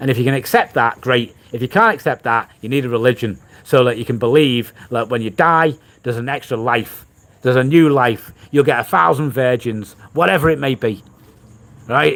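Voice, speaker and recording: Here a man speaks with a Liverpool accent. His pitch is medium, his pace moderate, and his pitch variation ordinary. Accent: Scouse. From Liverpool, England. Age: 40s. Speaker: vlogger. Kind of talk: livestream chat.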